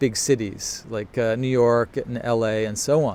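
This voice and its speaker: A man with a normal speaking voice, medium pitch and fairly even intonation. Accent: Canadian. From Canada. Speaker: photography teacher. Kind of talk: live Q&A stream. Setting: Instagram live broadcast.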